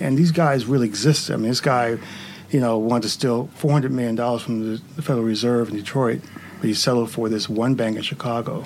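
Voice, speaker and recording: Against noticeable background noise, a man of medium pitch talks at a fairly quick pace with ordinary pitch variation. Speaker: TV writer and director. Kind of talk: panel interview, casual chat. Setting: studio.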